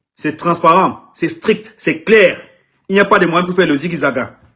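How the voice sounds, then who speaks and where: A man with a high pitch and a bright, sharp tone raises and projects his voice at a moderate pace. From Anglophone Cameroon. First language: English (speaking French). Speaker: artist manager. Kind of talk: live social media video. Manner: halting, repetitive.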